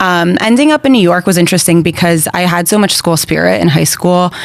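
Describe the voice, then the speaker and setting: A woman talks at a fairly quick pace and fairly low pitch with lively intonation and hardly any pauses. Her loudness stays very even over noticeable background noise. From Brazil, raised in Florida and Connecticut from age six. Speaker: podcast guest. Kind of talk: casual interview chat.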